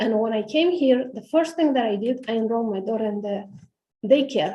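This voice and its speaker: Audible room echo surrounds a woman's voice. She speaks with fairly high pitch and lively intonation. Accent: Romanian. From Romania. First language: Romanian. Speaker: parent speaking at public hearing. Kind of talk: public comment testimony. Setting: city hall auditorium meeting.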